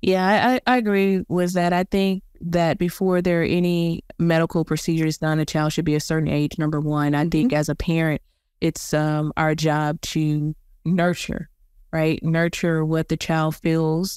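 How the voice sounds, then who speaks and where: A woman's ordinary speaking voice, fairly low and fairly even in intonation, at a moderate pace and very even loudness, dry and close with no echo, in a very clean recording with a silent background. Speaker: podcast host. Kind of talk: casual chat.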